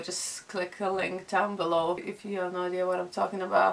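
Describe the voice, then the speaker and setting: A woman speaks with a Lithuanian accent. Her intonation is monotone and flat. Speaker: vlogger and illustrator. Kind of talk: casual vlog chat. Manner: slow; halting.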